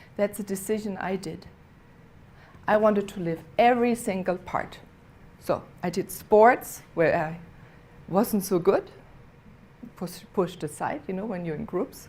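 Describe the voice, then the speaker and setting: With a non-native accent, a woman speaks fairly slowly at a medium pitch in a somewhat breathy voice, with ordinary pitch variation and long, frequent pauses. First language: not English. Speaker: inspirational speaker. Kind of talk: inspirational speech. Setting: theater stage with audience. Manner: halting.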